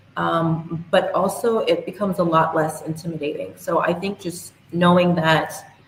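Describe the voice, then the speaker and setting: Over noticeable background noise, a woman speaks at a moderate pace with hardly any pauses. Her fairly low voice stays monotone and flat. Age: young. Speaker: youth and women's rights advocate. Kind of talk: interview.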